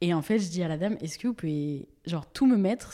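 A woman's fairly low voice at a very fast pace, on a very clean recording with a silent background. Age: 20s. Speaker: social media creator with coeliac disease. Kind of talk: casual interview chat. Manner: casual, many fillers and laughs.

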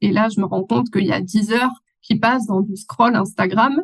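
Here a woman speaks with a fairly high pitch and a somewhat breathy quality. Her pace is moderate and her intonation fairly even. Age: 30s. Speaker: online business manager. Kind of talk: interview.

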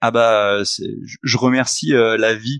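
A man at a medium pitch for a man, recorded in a dry, close sound with no echo against a quiet background. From Haute-Savoie, French Alps. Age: 30s. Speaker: investor and entrepreneur. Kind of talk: podcast interview. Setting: meeting room in a coworking space, remote.

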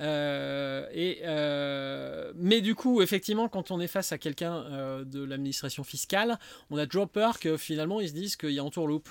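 Pitch varies in an ordinary way as the words come at a moderate speed. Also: man, fairly high pitch for a man. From Lyon, France. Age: 50s. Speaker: wine shop owner. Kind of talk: casual interview. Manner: halting, many fillers.

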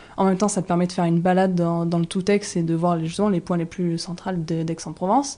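A dark, mellow tone rushes along at a very fast pace with hardly any pauses. The intonation stays fairly even. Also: woman, fairly low pitch for a woman. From rural southwest France near Toulouse. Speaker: shop co-founder and entrepreneur. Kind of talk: casual interview. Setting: in the shop.

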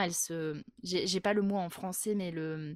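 Recorded very cleanly against a silent background, with a dry, close sound and no echo, a woman with an unremarkable speaking voice shows ordinary pitch variation. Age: 30s. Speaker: group facilitator. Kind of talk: interview conversation.

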